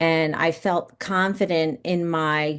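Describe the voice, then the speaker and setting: A woman with an American accent speaks in an ordinary speaking voice, fairly low in pitch. Her pitch varies in an ordinary way, and the background is quiet. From New York, Westchester County. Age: 50s. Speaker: actress and producer. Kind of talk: podcast interview.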